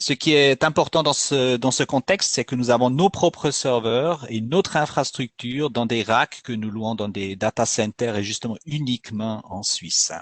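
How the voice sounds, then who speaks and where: A man with a Swiss German accent speaks at a fairly slow pace and medium pitch, with ordinary pitch variation and hardly any pauses. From Switzerland, Bern region (German-speaking). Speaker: company executive presenting a webinar. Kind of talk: webinar presentation. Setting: online webinar. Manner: halting, with frequent hesitations.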